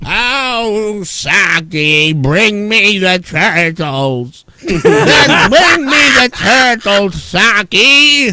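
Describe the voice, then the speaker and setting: A man performs a put-on character voice with a high pitch. His pace is very slow. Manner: menacing and demanding.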